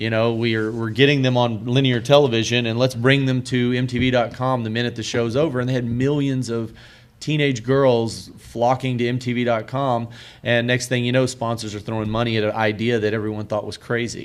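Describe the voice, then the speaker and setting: This man talks at a fairly quick pace with a medium pitch. His intonation is monotone and flat. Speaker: panelist, broadcast technology executive. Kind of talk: panel discussion. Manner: loud.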